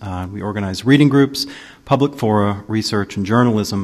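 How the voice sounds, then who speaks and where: A man with a fairly low pitch and ordinary pitch variation talks in a normal speaking voice. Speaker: panel moderator. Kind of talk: event introduction. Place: hall.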